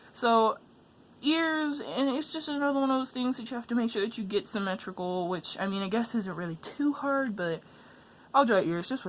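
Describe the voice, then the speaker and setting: A woman speaks with a fairly high pitch. Her pitch swings very widely. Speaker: art tutorial youtuber. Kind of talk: tutorial. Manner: halting; fast.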